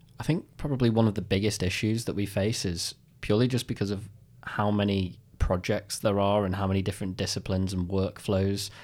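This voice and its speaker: In a very clean recording with a silent background, a man with a British accent speaks at a fairly quick pace, his pitch fairly low and his intonation fairly even. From United Kingdom. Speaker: video game artist. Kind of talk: interview. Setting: studio.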